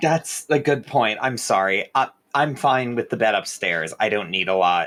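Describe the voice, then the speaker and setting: In a put-on character voice, a man speaks raspily at a medium pitch and a moderate pace, with lively intonation and very even loudness. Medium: actual play. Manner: hesitant, stammering.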